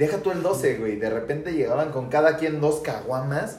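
A man's fairly high voice at a moderate pace with ordinary pitch variation, audible room echo and music in the background. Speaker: podcast host. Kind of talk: casual chat.

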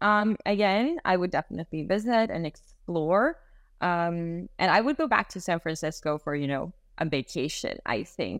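The speaker keeps a moderate pace. The voice moves through very wide pitch swings. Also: woman. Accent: Swedish. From Sweden. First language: Swedish. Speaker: global mobility specialist. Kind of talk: casual interview.

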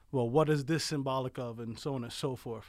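Speaking with an American accent, a man's medium-pitched voice has a dark, mellow tone and fairly even intonation on a very clean recording with a silent background. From New York, South Bronx. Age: 30s. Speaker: army veteran. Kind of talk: casual interview.

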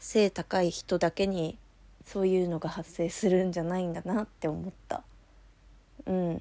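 A woman's dark, mellow tone at medium pitch and moderate pace, on a very clean recording with a silent background. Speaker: solo podcaster. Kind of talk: casual monologue storytelling. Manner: casual, chatty.

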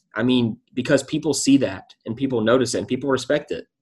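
A man's medium-pitched, fairly even delivery in a plain, everyday voice. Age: 20s. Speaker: financial analyst and podcast host. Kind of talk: interview conversation.

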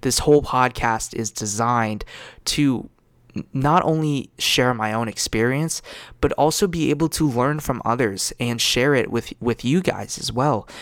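A man has a normal speaking voice at medium pitch with ordinary pitch variation. He talks at a fairly slow pace in a very clean recording with a silent background. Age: 20s. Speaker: podcast host. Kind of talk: solo podcast monologue. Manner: casual, filler-heavy.

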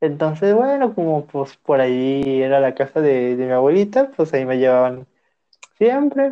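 A man with a fairly high pitch speaks at a moderate pace, his pitch varying in an ordinary way. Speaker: podcast co-host. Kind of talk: casual chat.

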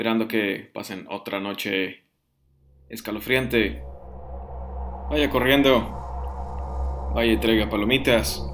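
This man speaks at a very slow pace, his fairly low pitch making very wide swings. Long, frequent pauses break up his speech. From northern Mexico (Piedras Negras, Coahuila). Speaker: horror story podcaster. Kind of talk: storytelling. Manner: halting, with frequent repetitions.

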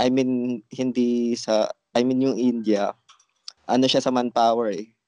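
At a fairly slow pace, a man talks in a medium-pitched voice, the sound dry and close with no echo. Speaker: crypto trader, channel creator. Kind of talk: casual group discussion. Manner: halting.

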